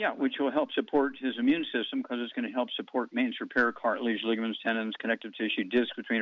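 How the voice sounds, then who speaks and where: A man is speaking. His pace is very fast. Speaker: alternative health radio host. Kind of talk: radio show answering callers' health questions.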